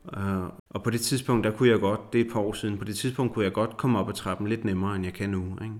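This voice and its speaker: A man speaks at a very fast pace and a fairly low pitch. His pitch varies in an ordinary way. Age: 40s. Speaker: psychologist living with multiple sclerosis. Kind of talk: interview. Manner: halting.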